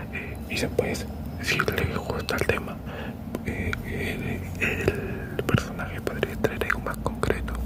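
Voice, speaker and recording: Noticeable background noise sits under a whisper delivered very slowly. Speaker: ASMR creator. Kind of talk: improvised ASMR true-crime talk. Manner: whispered.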